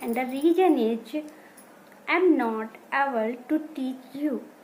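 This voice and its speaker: Through noticeable background noise, a woman with a high pitch speaks at a very slow pace. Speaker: English learner, beginner. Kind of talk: casual talk to camera. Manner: slow, hesitant, many pauses.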